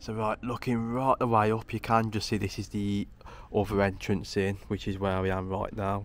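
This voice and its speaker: In a plain, everyday voice, a man at a fairly low pitch speaks at a moderate pace with fairly even intonation, and the sound is dry with no echo. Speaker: local history explorer vlogger. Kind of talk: casual vlog chat. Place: tunnel cave. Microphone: phone near.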